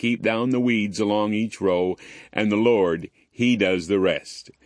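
The pitch shows ordinary variation throughout this plain reading aloud.

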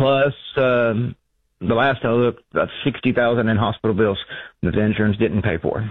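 At a moderate pace, a man talks with fairly even intonation and a fairly low pitch.

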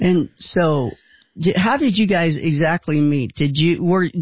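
At a moderate pace, a man with a fairly high pitch and vocal fry speaks with ordinary pitch variation.

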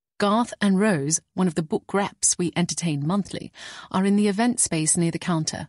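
Someone reads in an unforced voice, the pitch varying in an ordinary way.

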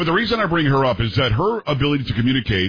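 Speaking fast, a man shows big pitch swings and a husky, rough edge.

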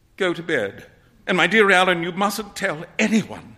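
The speaker reads aloud in a natural voice.

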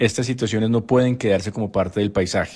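A man speaks with a fairly low pitch and a dark, mellow tone. His intonation stays fairly even.

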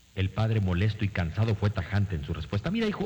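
Lively intonation in an unforced reading voice

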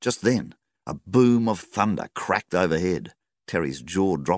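The room stays quiet while someone reads in an unforced voice.

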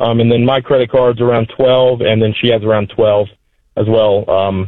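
A man at medium pitch with little pitch movement, in a dry, close sound with no echo. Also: moderate pace.

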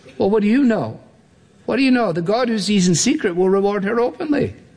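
A man speaks at a high pitch with a slightly mellow tone. His pace is fairly quick and his intonation lively.

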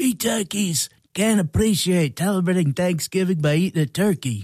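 Someone does a put-on character voice at a middle pitch and a moderate pace. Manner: cartoonish, comic.

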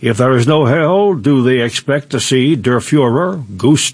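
The speaker reads aloud. It is an unforced reading voice.

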